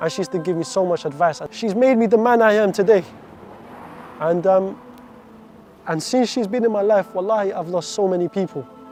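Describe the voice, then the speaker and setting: A man speaks at a high pitch with ordinary pitch variation and a fairly quick pace. Long, frequent pauses break it up, and background noise is noticeable. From Iraq, raised in the UK from age seven. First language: Arabic. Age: 20s. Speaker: convert story speaker. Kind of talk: testimony. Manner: halting, repeats words.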